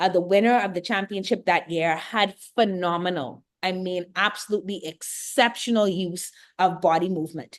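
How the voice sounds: A woman speaks with a Bahamian accent. Her pitch is fairly low.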